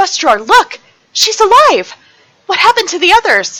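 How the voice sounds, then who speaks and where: This female-sounding voice is a put-on character voice. Its pitch is extremely high for a woman. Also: moderate pace. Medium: audio drama. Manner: urgent.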